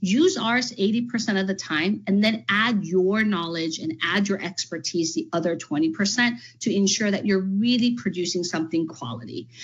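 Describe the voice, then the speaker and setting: An enthusiastic, somewhat breathy woman with an American accent, medium in pitch, with lively intonation, at a moderate pace and with hardly any pauses. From California. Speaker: education trainer, former teacher and principal. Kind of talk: workshop presentation.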